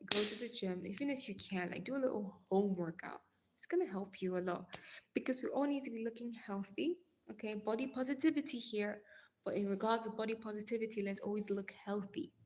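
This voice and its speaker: Somewhat breathy and fairly high in pitch, a woman talks at a fairly quick pace in an animated tone with ordinary pitch variation. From Nigeria. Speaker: live streamer. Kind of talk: casual chat. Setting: live stream.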